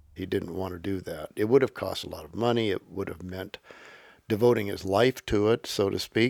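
A man speaks in a plain, everyday voice at a fairly quick pace, his pitch fairly low with ordinary variation. The recording is very clean, dry and close, with a silent background and no echo. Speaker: historian and professor. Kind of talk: interview recollection.

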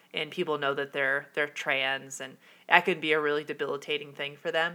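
Speaking at a moderate pace, a woman has a very deep, low pitch and a bright, sharp tone. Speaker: podcast host. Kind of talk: solo podcast monologue about personal experience. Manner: casual, enthusiastic, somewhat hesitant with filler words.

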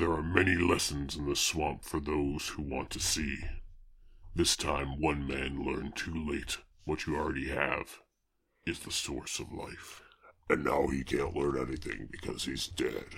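Using a put-on character voice, a man speaks very deep and low at a moderate pace. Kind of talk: solemn voiceover.

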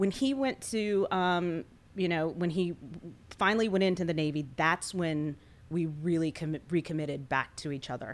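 The speaker has a plain, everyday voice with ordinary pitch variation at a moderate pace. The recording is very clean, with a silent background. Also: woman, fairly low pitch for a woman. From US Mid-Atlantic, Washington D.C. area. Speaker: former news anchor, military spouse, nonprofit relief worker. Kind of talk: casual interview.

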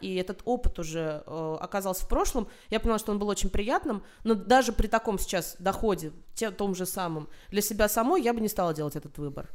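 A woman speaks at a fairly quick pace with a medium pitch. She has a normal speaking voice and lively intonation. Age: 30s. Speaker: journalist and film critic. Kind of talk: casual chat.

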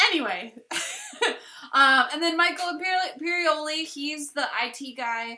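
Speaking at a moderate pace in a high, raised and projected voice, a woman uses lively intonation, big swings in loudness, and long, frequent pauses. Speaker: podcast host. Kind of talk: casual chat. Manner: halting, stuttering.

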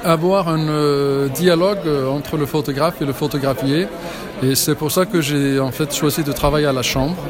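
The speech moves at a fairly slow pace with ordinary pitch variation, with noticeable background noise and audible room echo. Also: man. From Iceland. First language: Icelandic (speaking French). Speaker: photographer. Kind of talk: interview. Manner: halting.

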